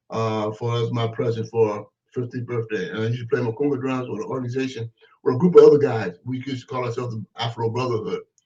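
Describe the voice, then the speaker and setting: Somewhat breathy, a man speaks at a very fast pace and medium pitch. His intonation stays fairly even. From US West Coast, Oakland, California. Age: 70s. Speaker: activist and former political prisoner. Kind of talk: interview.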